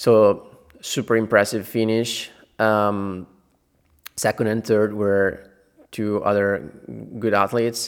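A man talks in an Italian accent with a fairly low pitch and monotone, flat intonation. His pace is fairly slow on a very clean recording with a silent background. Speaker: podcast host, trail runner. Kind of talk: solo podcast news review. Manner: some hesitations and fillers.

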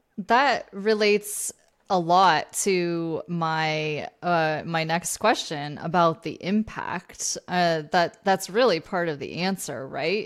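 This woman has a normal speaking voice, fairly low in pitch, with ordinary pitch variation and an American accent. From Vermont, US. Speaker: podcast host and leadership coach. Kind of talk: interview conversation.

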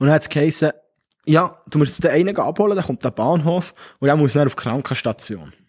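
Delivered at a fairly quick pace, an unremarkable speaking voice shows ordinary pitch variation in a dry, close sound with no echo. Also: man, fairly high pitch for a man. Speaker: podcast co-host, soldier. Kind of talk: casual chat. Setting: bunker.

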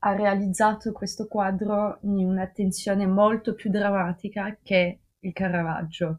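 A woman's medium-pitched, monotone, flat voice at a very slow pace against a quiet background. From Russia. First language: French and Russian (speaking Italian). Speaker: art history graduate. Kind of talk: casual podcast discussion. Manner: hesitant, searching for words.

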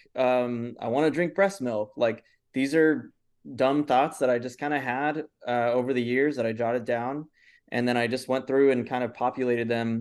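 A man with an American accent and a plain, everyday voice, medium in pitch, at a moderate pace with fairly even intonation over a quiet background. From Los Angeles, US. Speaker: filmmaker. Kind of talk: interview.

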